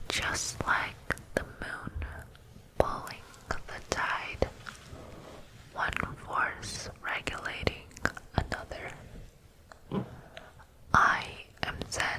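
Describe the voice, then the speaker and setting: There is noticeable background noise as a woman whispers. She goes at a very slow pace with long, frequent pauses. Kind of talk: ASMR poetry reading. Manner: whispered, soft-spoken.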